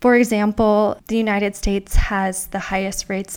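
Recorded very cleanly against a silent background, a woman speaks at a medium pitch with monotone, flat intonation. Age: 20s. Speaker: writer and mental health advocate. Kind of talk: casual interview.

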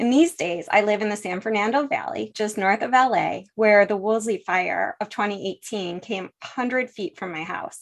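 A woman speaks with an American accent in an unremarkable speaking voice. Her pitch is medium, and she hardly pauses at all. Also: lively intonation, moderate pace. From US, western New York (Buffalo). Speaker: energy technology executive. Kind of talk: interview.

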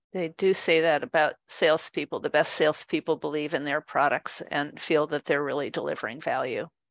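Hardly pausing at all, a woman with a very deep, low pitch speaks at a fairly quick pace with fairly even intonation. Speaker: podcast co-host and marketing instructor. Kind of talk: interview.

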